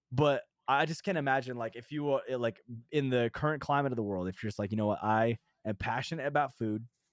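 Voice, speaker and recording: A man with an unremarkable speaking voice talks at a fairly quick pace and medium pitch. The sound is dry and close with no echo, on a very clean recording with a silent background. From New Hampshire, US. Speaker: music producer and Twitch streamer. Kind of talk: casual podcast interview.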